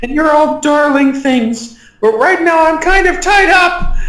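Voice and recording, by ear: In a put-on character voice that is high and croaky, the speaker goes at a fairly slow pace amid audible echo.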